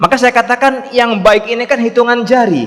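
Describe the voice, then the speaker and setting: A man speaks at a moderate pace. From East Java, Indonesia. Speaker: Islamic preacher. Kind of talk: religious lecture with Q&A.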